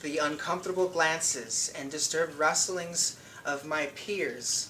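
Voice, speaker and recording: A man talks over noticeable background noise. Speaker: poet. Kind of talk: slam poetry reading.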